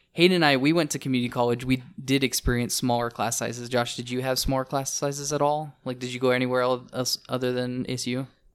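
A man at medium pitch, talking very fast in a monotone, flat delivery. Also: hardly any pauses. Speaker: podcast co-host. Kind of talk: casual chat.

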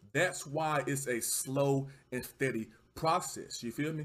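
A man with a Southern US accent, somewhat breathy, in an animated, enthusiastic tone with ordinary pitch variation at a fairly slow pace. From Texas. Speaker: livestreamer podcast host. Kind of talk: casual livestream chat. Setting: livestream, home setup with mic. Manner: animated, casual, enthusiastic.

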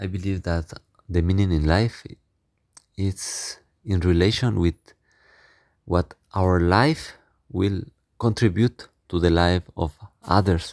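On a very clean recording with a silent background, a man with a Spanish accent speaks very slowly at a very deep, low pitch, with fairly even intonation and long, frequent pauses. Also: dry, close sound with no echo. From Mexico. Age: young. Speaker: missionary priest. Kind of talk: interview.

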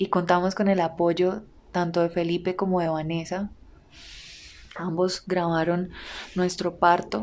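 A medium-pitched woman talks at a fairly slow pace. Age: 20s. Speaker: podcast host and content creator. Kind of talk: personal storytelling monologue.

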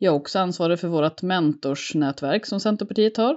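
A woman with a normal speaking voice, fairly low in pitch, with ordinary pitch variation. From Sweden, Mullsjö (Småland). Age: 40s. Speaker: local politician, former teacher. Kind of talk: interview.

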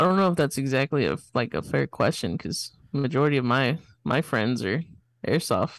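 An unremarkable speaking voice with lively intonation at a moderate pace. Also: man, fairly high pitch for a man. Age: 20s. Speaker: podcast producer and co-host. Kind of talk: casual chat. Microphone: close to the mic.

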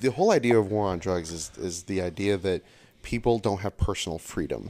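The pitch of this man's voice varies in an ordinary way. He keeps a moderate pace. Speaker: land surveyor. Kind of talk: casual chat. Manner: animated.

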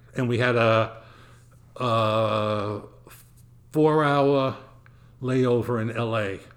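A man's medium-pitched voice with a Brooklyn accent, very slow delivery, long and frequent pauses, fairly even intonation, and audible room echo. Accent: New York (Brooklyn). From US Northeast (Brooklyn, New York). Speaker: retired world traveler, host's grandfather. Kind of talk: casual interview chat.

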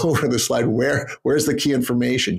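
A man speaks with a Canadian accent in a plain, everyday voice. He moves at a moderate pace with ordinary pitch variation. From Canada. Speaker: public speaking coach. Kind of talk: interview.

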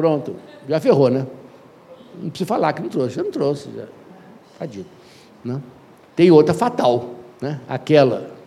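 Lively intonation at a moderate pace, with long, frequent pauses and big swings in loudness. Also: man, fairly high pitch for a man. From Brazil. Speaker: educator and anthropologist. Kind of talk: interview storytelling. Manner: animated.

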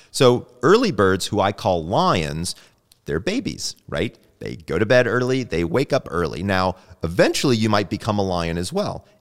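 An American man's fairly low voice, animated in tone, with lively intonation at a moderate pace. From US South. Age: 50s. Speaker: sleep doctor and clinical psychologist. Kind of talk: interview. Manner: animated, casual.

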